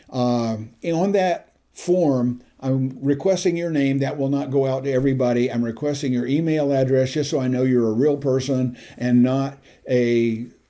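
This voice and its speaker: At a moderate pace, a man speaks in a dark, mellow tone at a medium pitch with ordinary variation. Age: 70s. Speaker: YouTube tutorial vlogger. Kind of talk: casual vlog address to viewers. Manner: conversational, with filler hesitations.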